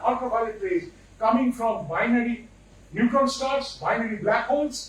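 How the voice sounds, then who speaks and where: A man speaks at a fairly slow pace in an extremely high voice, with audible room echo and noticeable background noise. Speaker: invited speaker on space science. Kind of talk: lecture. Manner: animated.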